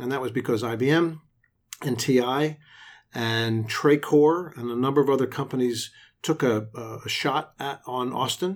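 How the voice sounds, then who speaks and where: In a very clean recording with a silent background, a man with a medium pitch and ordinary pitch variation speaks at a moderate pace in a plain, everyday voice. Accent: American. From Florida, Tampa Bay area. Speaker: tech incubator director. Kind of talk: interview.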